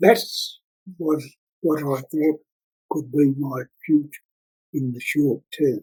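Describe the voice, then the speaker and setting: At a very slow pace with long, frequent pauses, the speaker uses an Australian accent and a dark, mellow, somewhat breathy tone. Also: man, fairly high pitch for a man, ordinary pitch variation. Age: 80s+. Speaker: retired Morse code telegraphist. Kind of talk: interview answer.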